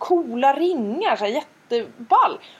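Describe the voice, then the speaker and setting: A woman's voice swings very widely in pitch, with noticeable background noise behind it. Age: 40s. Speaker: podcast co-host. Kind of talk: casual chat.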